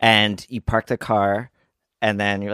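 A man with an American accent, bright and sharp in tone, at a fairly quick pace, in a dry, close sound with no echo on a very clean recording with a silent background. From New Jersey. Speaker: actor and comedian. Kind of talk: casual chat.

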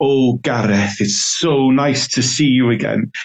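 A man puts on a raspy character voice with a Welsh accent, pitched in the middle of his range. He speaks at a fairly slow pace. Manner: warm, sweet.

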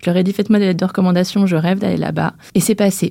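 Somewhat breathy, this voice carries a dark, mellow tone. The intonation is fairly even. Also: woman. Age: 30s. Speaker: press officer and clothing brand founder. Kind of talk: interview. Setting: recording studio.

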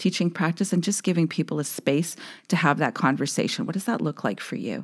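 A woman with a western Canadian accent speaks at a fairly quick pace with lively intonation, on a very clean recording with a silent background. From Saskatchewan, Canada (Saskatoon). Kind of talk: interview conversation.

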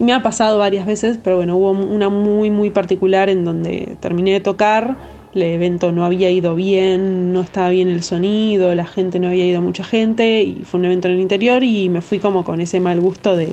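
At a fairly quick pace with hardly any pauses, a woman keeps her loudness very even and her intonation fairly even over noticeable background noise. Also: medium pitch for a woman. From Argentina. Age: 30s. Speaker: DJ and music producer. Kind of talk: interview. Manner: halting, many fillers.

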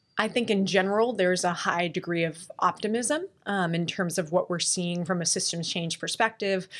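Speaking at a moderate pace with hardly any pauses, a woman has a medium pitch, ordinary pitch variation and a plain, everyday voice. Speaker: impact investor. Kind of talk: panel discussion. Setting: live at a conference.

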